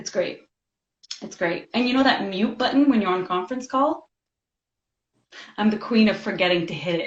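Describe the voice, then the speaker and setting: A woman's somewhat breathy voice at a moderate pace, lively in intonation, with long, frequent pauses. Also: medium pitch for a woman. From Lebanese background. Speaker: government employee and mother. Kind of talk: casual chat.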